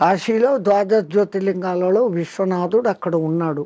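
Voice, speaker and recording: This man's voice sits high in pitch yet carries a dark, mellow tone. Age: 80s+. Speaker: spiritual teacher, swami. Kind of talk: interview answer.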